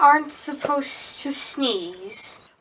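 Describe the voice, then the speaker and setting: A woman's high-pitched voice, put on as a character voice. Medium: stage play. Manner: fussy, disapproving.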